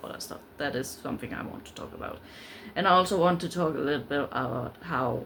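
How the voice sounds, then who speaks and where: A woman with a Danish accent talks at a very fast pace in a very deep, low pitch. Her intonation is lively. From Denmark. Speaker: book vlogger. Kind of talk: casual vlog talk. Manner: halting, many fillers.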